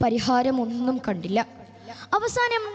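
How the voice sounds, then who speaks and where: A high-pitched woman's voice with very wide pitch swings, over noticeable background noise. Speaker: storyteller addressing an audience at a youth religious gathering. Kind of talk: storytelling speech for a religious event, dramatic narration.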